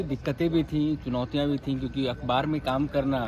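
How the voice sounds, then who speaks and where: A man with a Bengali accent, medium pitch and a somewhat breathy voice at a moderate pace. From West Bengal, Kolkata. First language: Bengali (speaking Hindi). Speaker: journalist. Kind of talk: interview. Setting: office campus.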